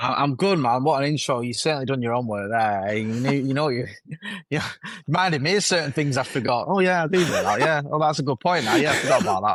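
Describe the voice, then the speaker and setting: Audible room echo surrounds a man with a Mancunian accent talking at a very fast pace. His pitch is fairly high and his intonation lively. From Manchester (Stretford), northern England. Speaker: football content creator. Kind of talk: interview. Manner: casual, with repeated fillers and restarts.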